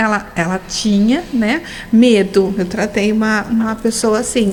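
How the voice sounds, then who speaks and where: Moderate-paced speech from a woman, pitch varying in an ordinary way, with noticeable background noise behind it. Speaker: holistic therapist, hypnotherapist. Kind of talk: radio interview.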